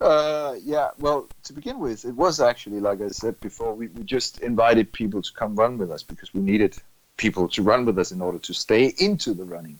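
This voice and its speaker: Speaking at a fairly quick pace with a Danish accent, a man uses lively intonation and big swings in loudness. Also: medium pitch for a man. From Denmark, Funen (Middelfart). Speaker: running club manager, former teacher. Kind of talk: casual interview. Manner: halting, repeats words.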